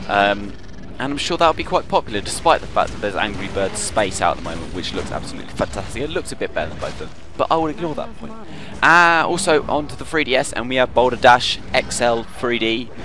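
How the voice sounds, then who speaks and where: Over music in the background, a man with a medium pitch talks at a very fast pace, his pitch swinging very widely and his loudness shifting a lot. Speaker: gaming video host. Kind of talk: video game news rundown.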